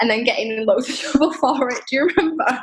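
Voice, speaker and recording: With a Manchester accent, a woman speaks at a very fast pace in a high pitch with ordinary pitch variation. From northern England, Manchester. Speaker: podcast guest, traveler living abroad. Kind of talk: casual chat.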